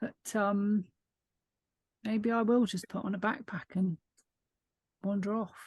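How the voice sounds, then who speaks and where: At a fairly slow pace with long, frequent pauses, a woman speaks at a medium pitch with fairly even intonation, somewhat breathy, in a dry, close sound with no echo. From UK. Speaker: book club member. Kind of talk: casual chat.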